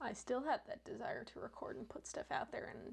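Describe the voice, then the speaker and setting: A woman whispers at a moderate pace. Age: 20s. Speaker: vlogger. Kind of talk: reaction commentary.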